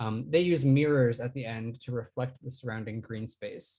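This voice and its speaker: This man's voice sits at a medium pitch. It comes across somewhat breathy. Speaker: guest speaker, bird researcher. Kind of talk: online lecture.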